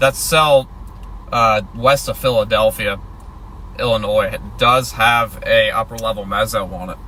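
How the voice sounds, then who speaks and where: Quiet and relaxed, a man talks at a fairly slow pace with long, frequent pauses. Noticeable background noise runs under his voice. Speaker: storm chaser livestreamer. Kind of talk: live stream commentary. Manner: casual, relaxed.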